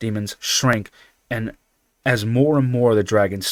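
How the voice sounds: A natural reading voice against a quiet background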